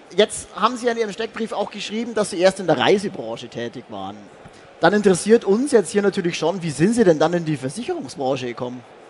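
Very fast speech from a man with a high pitch, full of very wide pitch swings and big swings in loudness. Noticeable background noise sits underneath. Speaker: event talk host. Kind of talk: interview. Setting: stage at trade fair.

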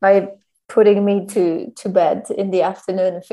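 Her tone is dark and mellow, in a German accent. The woman speaks at a fairly slow pace. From Germany. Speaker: podcast host. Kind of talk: casual chat.

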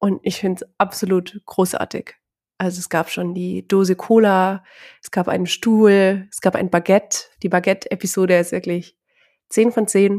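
On a very clean recording with a silent background and a dry, close sound with no echo, a woman speaks at a medium pitch in a dark, mellow tone, at a moderate pace, with monotone, flat intonation and big swings in loudness. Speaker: podcast co-host. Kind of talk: casual chat.

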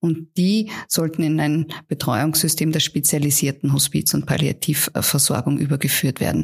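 A woman's very deep, low, somewhat breathy voice, fairly even in intonation, very even in loudness, at a moderate pace with hardly any pauses, in a very clean recording with a silent background. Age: 40s. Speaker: palliative care physician. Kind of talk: interview.

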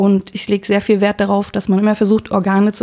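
The tone is dark and mellow, delivered in a flat monotone. The pace is fairly quick. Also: woman. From Berlin, Germany. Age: 40s. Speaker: gynecologist, head physician. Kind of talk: casual interview. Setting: on-call room in a hospital.

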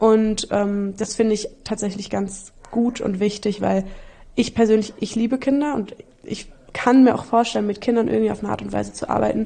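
Moderate pace and fairly even intonation in a normal speaking voice. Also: woman, medium pitch for a woman. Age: 20s. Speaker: traveller and volunteer. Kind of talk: casual chat.

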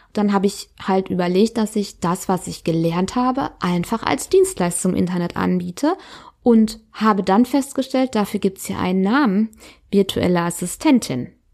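A plain, everyday voice from a woman at a medium pitch and moderate pace, with ordinary pitch variation, on a very clean recording with a silent background. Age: 30s. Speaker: podcast host, self-employed mother. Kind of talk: personal monologue. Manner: casual, filler-heavy.

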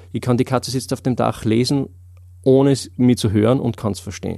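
A dark, mellow tone at a very fast pace. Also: man. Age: 30s. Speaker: memory trainer. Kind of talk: interview. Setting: studio. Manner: hesitant, many filler sounds.

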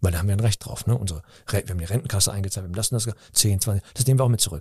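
With a dark, mellow tone, the somewhat breathy voice shows ordinary pitch variation. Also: man. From Cologne, Germany (Nippes). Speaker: comedian and actor. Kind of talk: interview. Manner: halting.

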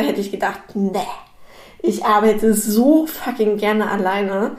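Audible room echo hangs around speech delivered at a fairly slow pace. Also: woman. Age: 20s. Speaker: business consultant. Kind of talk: solo podcast monologue. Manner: casual, filler-heavy.

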